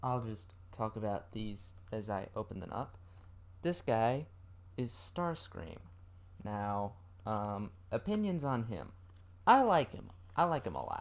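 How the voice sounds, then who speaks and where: Fairly slow pace with long, frequent pauses. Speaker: toy unboxing vlogger. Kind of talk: casual unboxing ramble. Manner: hesitant, many ums; trying to speak louder.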